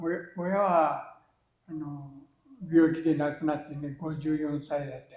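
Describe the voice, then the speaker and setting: At a moderate pace, a man speaks in a fairly high voice with monotone, flat intonation. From Japan, Fukushima. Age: 80s+. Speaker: peach farmer. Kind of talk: interview answer.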